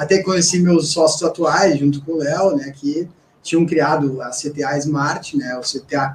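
Pitched fairly high for a man, an unremarkable speaking voice carries ordinary pitch variation. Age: 40s. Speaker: company CEO. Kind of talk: interview. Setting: radio studio.

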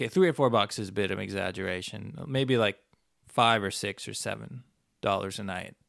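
Speaking at a fairly quick pace, a man with a fairly low pitch shows vocal fry and ordinary pitch variation. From Canada. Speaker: podcast host and traveler. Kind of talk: solo monologue, casual storytelling. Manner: casual, conversational, rambling with filler words.

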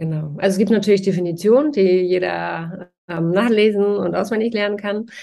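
An unremarkable speaking voice, this woman's medium pitch shows ordinary variation at a moderate pace with hardly any pauses. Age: 40s. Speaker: trauma therapist. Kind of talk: interview.

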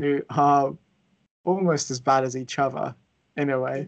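A man's fairly high voice in a flat monotone at a fairly slow pace. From England. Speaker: football podcast host. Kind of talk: casual panel discussion.

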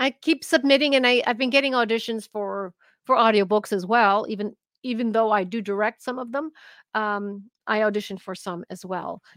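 A woman speaks at a medium pitch and moderate pace, her tone fairly bright with ordinary pitch variation. The sound is dry and close, with no echo.

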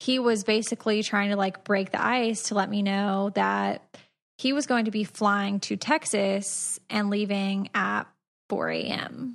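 A woman with an American accent speaks at a medium pitch and a fairly slow pace. The background is quiet. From US South, Georgia. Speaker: podcast co-host. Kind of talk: casual chat.

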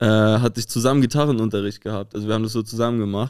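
A man's fairly low-pitched voice. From northern Germany (Rostock). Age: 20s. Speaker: musician. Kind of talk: casual chat.

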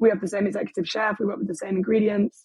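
A woman speaks at a very fast pace in an English accent. Her pitch is medium and her intonation fairly even. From England. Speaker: boutique hotel owner. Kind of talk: interview.

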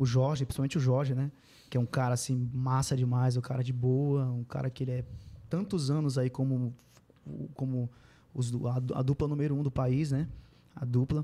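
At a moderate pace, a man with a medium pitch speaks in a monotone, flat way with long, frequent pauses. His tone is dark and mellow and somewhat breathy. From Pará, Brazil (Mãe do Rio). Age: 30s. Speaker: sertanejo singer. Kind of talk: casual interview.

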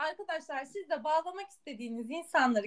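Speaking at a fast pace, a woman uses a high pitch and lively intonation.

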